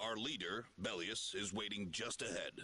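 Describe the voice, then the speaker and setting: Here a man uses a put-on character voice. It is fairly low in pitch and moves at a moderate pace. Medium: video game. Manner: formal, polite.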